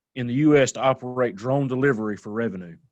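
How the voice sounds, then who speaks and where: A man with a Southern US accent, speaking at a fairly quick pace. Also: quiet background. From US South. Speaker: drone association event host. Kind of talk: live online panel with giveaways.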